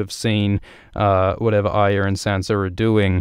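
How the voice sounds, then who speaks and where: A man's fairly low voice on a very clean recording with a silent background. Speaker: video essayist on a TV series, hosting a livestream. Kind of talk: livestream commentary and analysis. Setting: livestream. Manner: fast; halting, many fillers and repetitions.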